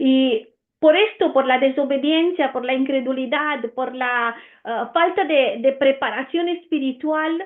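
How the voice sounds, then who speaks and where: In an Italian accent, a woman speaks at a fairly slow pace with a high pitch and ordinary pitch variation. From Romania. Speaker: Bible teacher. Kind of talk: Bible teaching. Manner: hesitant, many fillers.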